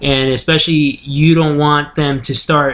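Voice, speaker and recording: A man with a fairly high voice and fairly even intonation talks over noticeable background noise. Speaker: sports commentary show host. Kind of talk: solo sports talk show commentary. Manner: monotone.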